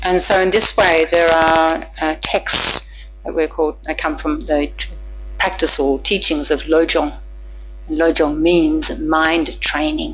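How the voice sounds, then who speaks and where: Amid audible room echo and noticeable background noise, a woman talks very slowly. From Australia. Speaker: Buddhist nun teacher. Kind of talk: dharma lecture with interpretation.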